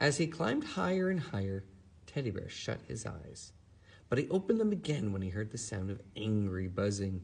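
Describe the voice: A plain read-aloud delivery.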